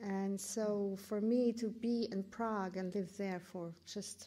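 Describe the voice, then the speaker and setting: A woman's medium-pitched voice with a German accent, dark and mellow in tone, flat and monotone in intonation. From Germany. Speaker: curator and professor. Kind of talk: lecture. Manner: halting, many fillers and restarts.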